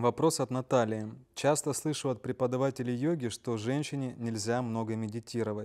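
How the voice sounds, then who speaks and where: A man with a normal speaking voice and medium pitch talks at a moderate pace. His intonation is fairly even, and the sound is dry and close, with no echo. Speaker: webinar moderator. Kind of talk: reading listener questions. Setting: online livestream.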